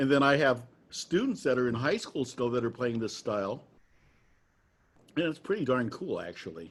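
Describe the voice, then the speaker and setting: With an American accent and lively intonation, a man speaks at medium pitch and a moderate pace, pausing long and often. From US Midwest. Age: 60s. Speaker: trad jazz musician and interviewer. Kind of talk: casual interview.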